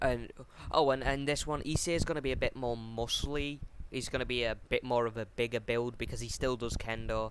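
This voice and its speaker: Speaking with a British accent, a man talks fairly quickly at medium pitch with fairly even intonation. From Britain. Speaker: YouTuber telling fan-fiction story. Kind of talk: casual storytelling narration. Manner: halting, many fillers.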